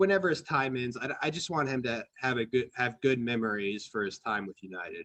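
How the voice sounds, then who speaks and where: With an American accent and lively intonation, a man talks at a fairly quick pace in a medium pitch, hardly pausing at all. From US Midwest, Ohio. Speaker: football podcast host. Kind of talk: casual chat. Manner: halting, many fillers and restarts.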